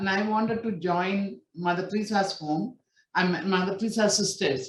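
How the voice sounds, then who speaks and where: Somewhat breathy and at a medium pitch, a woman speaks with ordinary variation in her pitch. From India, Kerala. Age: 60s. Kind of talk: testimony. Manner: halting, many fillers.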